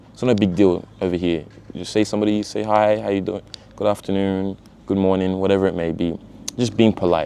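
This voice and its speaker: Speaking at a very fast pace, a man with a fairly low pitch keeps a monotone, flat intonation. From Australia, Sydney. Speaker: vlogger. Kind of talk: casual vlog talk. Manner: casual, filler-heavy.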